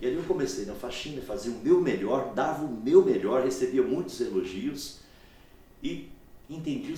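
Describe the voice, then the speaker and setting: A man's lively intonation amid audible room echo. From Minas Gerais, Brazil (rural, near Governador Valadares). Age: 50s. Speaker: sales expert. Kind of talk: podcast interview, telling life story. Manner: animated.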